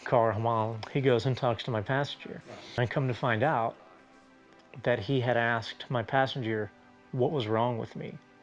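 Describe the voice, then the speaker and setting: With a Southern US accent, a man talks at a moderate pace and medium pitch, his intonation fairly even. Long, frequent pauses break up his speech while music plays in the background. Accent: Southern American. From South Carolina, USA. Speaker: musician and stuttering awareness advocate. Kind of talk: interview answer. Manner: casual.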